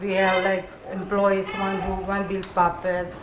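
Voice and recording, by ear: A woman talks at a moderate pace with a medium pitch. Room echo is audible.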